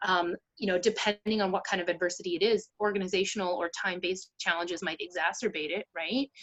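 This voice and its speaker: A woman with a Canadian accent talks very fast at a medium pitch, her pitch moving in an ordinary way. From Vancouver, Canada. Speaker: ADHD coach. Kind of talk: interview. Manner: hesitant, many fillers.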